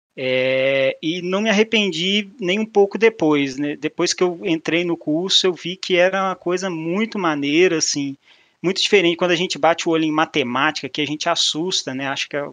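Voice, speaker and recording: A man's high voice at a moderate pace, with hardly any pauses, ordinary pitch variation, a quiet background and a dry, close sound with no echo. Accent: Minas Gerais. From Minas Gerais, Brazil. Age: 30s. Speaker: mathematician and business analyst, speaker. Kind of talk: meetup talk. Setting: online meetup presentation with slides. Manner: casual, informal.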